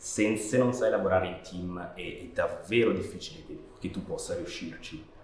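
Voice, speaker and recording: At a moderate pace, a man speaks with big swings in loudness, audible room echo and noticeable background noise. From Switzerland, Canton Ticino near Chiasso. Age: 30s. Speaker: animation director. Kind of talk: interview. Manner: halting, with frequent repetitions.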